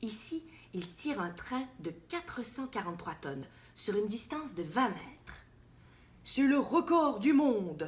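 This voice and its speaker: Her pace is very slow and her pitch sits high for a woman. The pitch swings very widely as she talks. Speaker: actress. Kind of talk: children's picture book reading.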